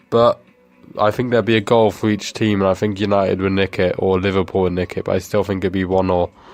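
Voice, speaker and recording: A man's very deep, low voice at a fairly quick pace, monotone and flat, with music in the background. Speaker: podcast co-host. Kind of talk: recorded voice message.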